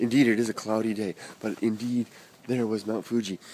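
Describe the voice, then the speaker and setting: A man talks at a fairly quick pace with medium pitch. There is noticeable background noise. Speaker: vlogger. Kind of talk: stream-of-consciousness vlog monologue. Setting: outdoors, walking. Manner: fast; halting, many repetitions and fillers.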